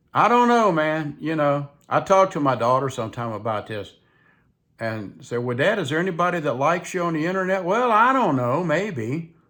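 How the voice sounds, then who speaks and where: Pitch swings very widely at a moderate pace in a very clean recording with a silent background. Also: man, fairly high pitch for a man. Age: 70s. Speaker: vlogger. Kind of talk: casual chat. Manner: rambling, conversational.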